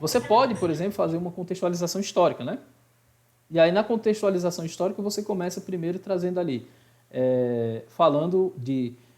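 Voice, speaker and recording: High-pitched for a man, this male voice moves with lively intonation. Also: fairly quick pace. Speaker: high school Portuguese teacher. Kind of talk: online class lecture. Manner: fast.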